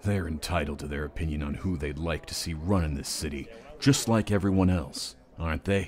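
A put-on character voice at a fairly quick pace. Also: man, very deep, low pitch for a man. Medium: dub.

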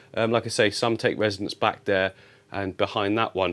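The recording is very clean with a silent background. In it, a man speaks at a fairly low pitch. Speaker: aquarium hobbyist YouTuber. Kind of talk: casual tutorial vlog. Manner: animated.

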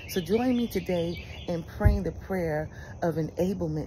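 The woman speaks at a moderate pace. Light background noise can be heard. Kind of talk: fervent prayer and declaration, devotional monologue. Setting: outdoors, birds chirping. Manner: earnest, emphatic, repeating phrases; uplifting, warm, conversational. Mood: warm, encouraging. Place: garden. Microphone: phone near.

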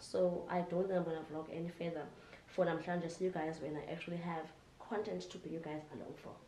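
A woman with a South African accent talks at a fairly quick pace in a fairly low pitch, with noticeable background noise and audible room echo. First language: Xhosa. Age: 20s. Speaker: vlogger. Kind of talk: casual vlog talk to camera.

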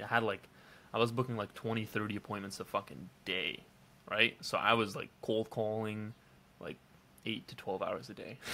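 Speaking at a fairly quick pace, a man with a fairly low pitch uses monotone, flat intonation and a bright, sharp tone. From Belgium. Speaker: online entrepreneur. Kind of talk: casual vlog monologue. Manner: casual, with many fillers.

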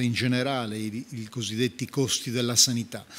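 A man talks at a fairly slow pace in an ordinary speaking voice of medium pitch. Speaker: politician. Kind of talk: panel speech. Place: hall. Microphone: podium.

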